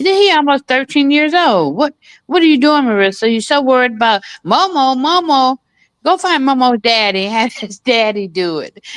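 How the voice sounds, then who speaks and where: Against a quiet background, a woman with a high pitch speaks in an animated tone at a moderate pace, with very wide pitch swings and a dry, close sound with no echo. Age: 60s. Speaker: commentary show co-host. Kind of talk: casual chat.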